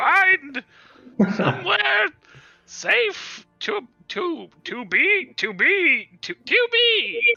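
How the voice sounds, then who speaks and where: In a put-on character voice, a man speaks at a very slow pace with an extremely high pitch and very wide pitch swings while music plays in the background. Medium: actual play. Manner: stammering, hesitant.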